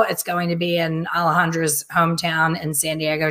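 A woman has a normal speaking voice at a fairly low pitch. The background is quiet. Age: 50s. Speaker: hair colorist and educator; educator. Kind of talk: casual chat. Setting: live video stream. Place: home room. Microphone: webcam.

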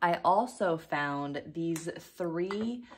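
Lively intonation stands out against a quiet background. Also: woman. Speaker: vintage reseller. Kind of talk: casual vlog chat. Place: home room. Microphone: phone near.

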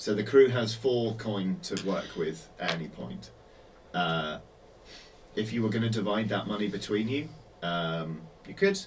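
A man speaks at a fairly low pitch and a fairly slow pace, with ordinary pitch variation. He takes long, frequent pauses over light background noise. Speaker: tabletop game master. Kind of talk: tabletop role-play session. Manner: animated. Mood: relaxed, hesitant fillers. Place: studio.

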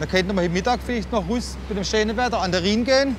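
A man speaks at a very fast pace. Noticeable background noise is present. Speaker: workshop foreman, hydraulics pre-assembly. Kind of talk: interview answer. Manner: upbeat, joking.

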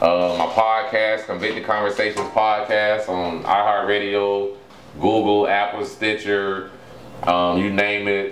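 Against noticeable background noise and audible room echo, a man with a fairly low pitch talks at a fairly slow pace in a monotone, flat intonation. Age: 40s. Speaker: author. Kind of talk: casual chat.

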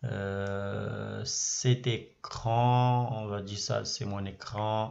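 This man's voice is fairly low in pitch with fairly even intonation. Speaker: trading educator YouTuber. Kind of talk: screen-share tutorial. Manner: repetitive, filler words, casual.

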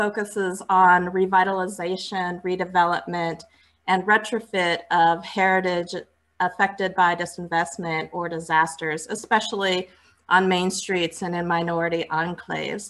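This woman's voice sits fairly low in pitch and moves at a moderate pace. Her intonation stays monotone and flat. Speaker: panel moderator. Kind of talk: moderator introduction. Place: home room. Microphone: earbuds.

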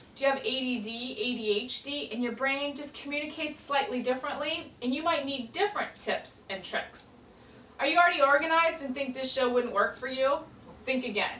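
In an upbeat, animated tone, a woman speaks at a high pitch with ordinary pitch variation, amid light background noise and audible room echo. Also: moderate pace. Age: 30s. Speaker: professional organizer. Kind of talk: audition pitch to camera. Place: office. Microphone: camera far.

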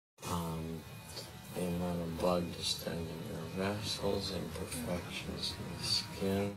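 Clear music plays in the background while a man speaks at a very slow pace. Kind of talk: film dialogue, flirtatious explanation. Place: car.

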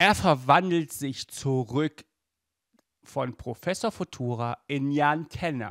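In a very clean recording with a silent background, a man talks at a fairly high pitch for a man, his pitch swinging widely.

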